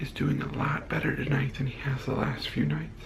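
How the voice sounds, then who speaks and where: A man whispers in a room with audible echo. Noticeable background noise runs underneath. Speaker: family vlogger. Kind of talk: casual vlog chat. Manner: whispering.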